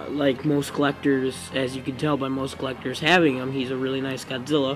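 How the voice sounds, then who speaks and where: A man's medium-pitched voice, flat and monotone, at a fairly quick pace over background music. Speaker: toy reviewer. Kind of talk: video review. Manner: halting, many fillers.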